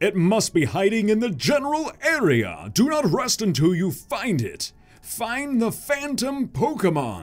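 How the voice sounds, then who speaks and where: Using a put-on character voice, a man speaks at a high pitch with very wide pitch swings and hardly any pauses. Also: moderate pace. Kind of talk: comic villain voice. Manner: commanding, gruff.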